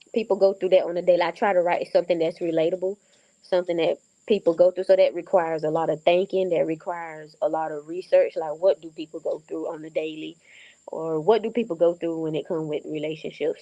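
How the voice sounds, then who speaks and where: A woman with a Southern US accent, a dark, mellow tone and fairly low pitch, at a very fast pace with fairly even intonation, in a dry, close sound with no echo and a quiet background. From North Carolina, USA. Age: 20s. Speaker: author and film director. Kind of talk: interview answer.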